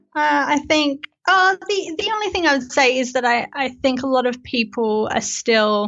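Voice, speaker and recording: Speaking with an Australian accent, a woman uses a high pitch. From Australia, Melbourne. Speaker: software developer and company co-founder. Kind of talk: casual interview chat.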